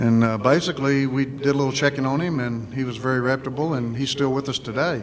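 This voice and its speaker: A man talks very fast with hardly any pauses. His intonation is fairly even, and there is noticeable background noise. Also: medium pitch for a man. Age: 60s. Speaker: business owner, panelist. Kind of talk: panel discussion testimony. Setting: luncheon event with audience. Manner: halting, many fillers.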